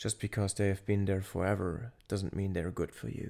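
The man's voice is fairly low-pitched and somewhat breathy. His tone is dark and mellow. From Luxembourg. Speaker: podcaster, soldier. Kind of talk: casual solo monologue.

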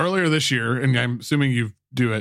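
This man speaks with ordinary pitch variation. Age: 40s. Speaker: podcast host and musician. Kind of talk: casual chat. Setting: video call.

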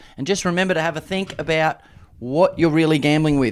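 On a very clean recording with a silent background, there's a man talking with an Australian accent. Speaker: racing podcast host. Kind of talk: casual chat.

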